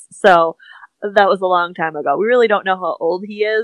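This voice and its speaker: Fairly quick female speech, with fairly even intonation. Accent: Midwestern US. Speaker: tack business owner. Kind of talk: casual interview chat.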